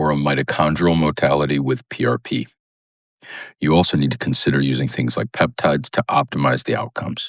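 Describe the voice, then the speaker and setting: A man with a very deep, low pitch and vocal fry talks at a fairly quick pace with lively intonation, the sound dry and close with no echo. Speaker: doctor of regenerative medicine. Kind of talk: vlog update. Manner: quiet, hushed.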